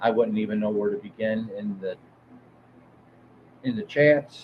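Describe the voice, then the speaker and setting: A man with a Detroit accent speaks slowly, at a fairly slow pace and a fairly low pitch. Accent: Midwestern US (Detroit area). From Southeast Michigan. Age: 50s. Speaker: music show host. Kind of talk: live stream chat. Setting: live stream. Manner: halting, many fillers.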